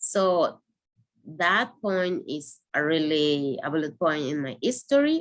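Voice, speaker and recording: A woman's fairly low voice with a Spanish accent, in a very clean recording with a silent background. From Venezuela. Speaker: asylum seeker and activist. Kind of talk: personal testimony. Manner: halting.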